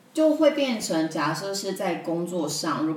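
A woman with a Taiwanese accent, fairly even intonation and a fairly slow pace, amid noticeable background noise and audible room echo. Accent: Taiwanese Mandarin. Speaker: YouTuber and video producer. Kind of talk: casual interview chat.

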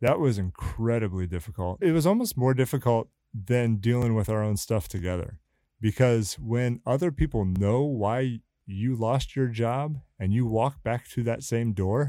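In a very clean recording with a silent background, a man with a dark, mellow tone speaks at medium pitch and a moderate pace, with ordinary pitch variation. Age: 40s. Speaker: church worker and married guest. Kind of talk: casual interview.

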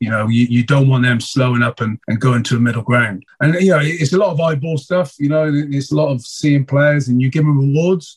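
Somewhat breathy and fairly high for a man, his voice moves at a fairly quick pace with very even loudness. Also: ordinary pitch variation, hardly any pauses. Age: 40s. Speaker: rugby coach. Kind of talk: interview.

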